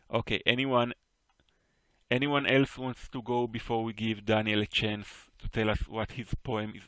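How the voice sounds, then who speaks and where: Speaking with an Israeli accent at a fairly slow pace, a man has a bright, sharp tone, a medium pitch and fairly even intonation. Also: dry, close sound with no echo. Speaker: poetry teacher. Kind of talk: online class critique discussion. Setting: voice chat on Discord.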